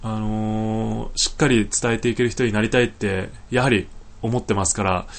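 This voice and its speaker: A man with a normal speaking voice talks at a moderate pace in a medium pitch with fairly even intonation. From Niigata, Japan (Sanjo). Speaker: podcaster, environmental volunteer. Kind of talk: casual solo talk. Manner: relaxed, many filler words.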